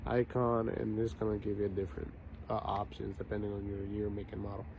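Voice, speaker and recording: A man speaks at a fairly quick pace in a somewhat breathy voice. His pitch is fairly low and varies in an ordinary way. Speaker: car mechanic video maker. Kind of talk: tutorial. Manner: hesitant with many fillers.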